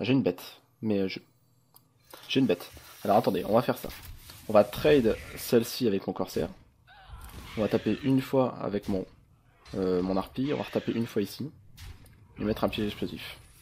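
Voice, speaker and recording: A fairly low-pitched man with ordinary pitch variation and long, frequent pauses. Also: fairly quick pace. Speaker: gaming youtuber. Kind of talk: gameplay commentary. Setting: home recording with webcam. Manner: fast; casual, hesitant with fillers.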